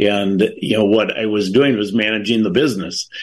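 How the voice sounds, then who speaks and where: This is a normal speaking voice from a man with an American accent. He speaks at a moderate pace with a fairly low pitch. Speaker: bereaved father and advocate. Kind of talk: interview. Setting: video call.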